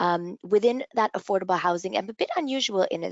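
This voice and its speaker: Talking at a very fast pace, a woman speaks with a Canadian accent. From Canada. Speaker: real estate lawyer. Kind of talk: professional presentation. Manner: hesitant with fillers.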